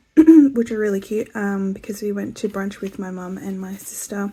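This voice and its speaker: In an Australian accent, a woman speaks with a dark, mellow tone, somewhat breathy, with ordinary pitch variation. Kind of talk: casual talk to camera.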